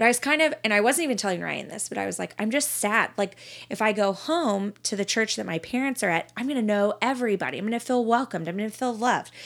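In an American accent, a woman talks fairly quickly at medium pitch with lively intonation, an unremarkable speaking voice. The recording is very clean, with a silent background. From Texas, Dallas–Fort Worth area. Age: 30s. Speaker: podcast guest. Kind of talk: casual chat and testimony.

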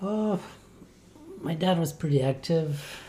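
A man with a dark, mellow and relaxed tone, somewhat breathy, speaks at a very slow pace in a French-Canadian accent. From Quebec, Rivière-du-Loup. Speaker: triathlete. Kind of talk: interview.

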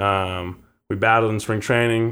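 On a very clean recording with a silent background, a man speaks in a monotone, flat intonation. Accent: American. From Bend, Oregon. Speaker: professional baseball player. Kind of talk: interview.

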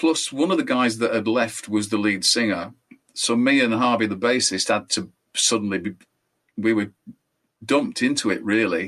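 A man with a Yorkshire accent speaks at a moderate pace in a medium-pitched voice with ordinary pitch variation. His loudness stays very even, broken by long, frequent pauses. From northern England. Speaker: guitarist and singer. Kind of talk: casual interview chat.

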